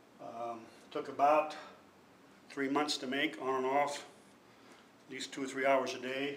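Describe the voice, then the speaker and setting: A man's fairly high, monotone voice with flat intonation, a fairly slow pace, long and frequent pauses, and noticeable background noise. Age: 60s. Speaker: artist. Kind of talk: artist talk about own work.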